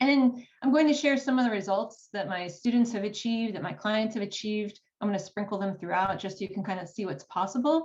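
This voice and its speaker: A woman with an American accent speaks at a fairly quick pace and a medium pitch. Her voice is somewhat breathy, with lively intonation. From United States. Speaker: writing coach. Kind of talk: workshop presentation.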